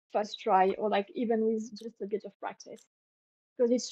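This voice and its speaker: Speaking with a French accent, a woman uses a fairly high pitch, a moderate pace, and fairly even intonation, with a dry, close sound and no echo. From northern France. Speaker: French language tutor. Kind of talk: casual language lesson on a livestream. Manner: hesitant, many repeated words.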